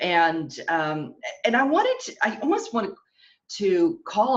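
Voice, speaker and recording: A woman speaks in a somewhat breathy voice, her pitch swinging very widely. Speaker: fashion stylist. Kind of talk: webinar presentation. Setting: online webinar. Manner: animated.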